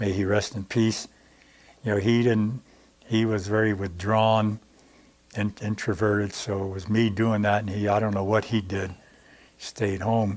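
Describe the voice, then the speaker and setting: A man with a fairly low pitch talks at a fairly slow pace in a monotone, flat intonation, with long, frequent pauses. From New Jersey, US. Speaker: war veteran and community activist. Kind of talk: interview storytelling. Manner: halting, many fillers.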